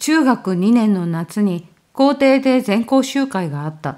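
A woman speaks with very wide pitch swings. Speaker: horror story narrator. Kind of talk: horror story reading.

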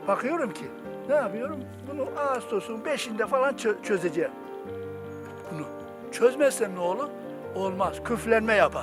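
Music plays behind a man speaking at a moderate pace. He leaves long, frequent pauses, and his loudness swings widely. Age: 60s. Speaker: retired teacher who grafts wild fruit trees. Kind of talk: casual talk and demonstration outdoors. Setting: outdoors.

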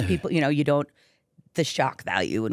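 A woman's very deep, low-pitched voice with vocal fry and lively intonation, at a very fast pace, dry with no echo against a quiet background. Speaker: radio host. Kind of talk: casual interview. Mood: warm, friendly. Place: studio. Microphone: studio mic.

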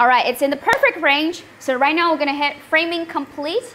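Against light background noise, a woman speaks at a fairly quick pace in a raised, projected voice. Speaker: livestream host demonstrating laser products. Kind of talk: livestream product demo and sales pitch. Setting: online livestream. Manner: animated, cheerful, laughs often. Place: workshop. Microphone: lapel.

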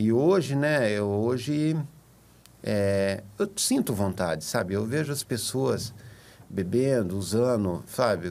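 A man with a fairly low pitch speaks at a very slow pace. His intonation is lively. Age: 50s. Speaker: recovering addict, support group member. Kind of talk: testimony. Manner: halting, many fillers. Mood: earnest, reflective. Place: studio. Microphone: studio mic.

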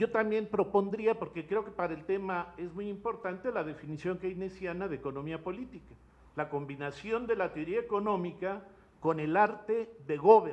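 His pitch high, a man talks with ordinary pitch variation at a moderate pace. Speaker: audience member, academic; audience member. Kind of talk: seminar question. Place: classroom. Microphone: handheld.

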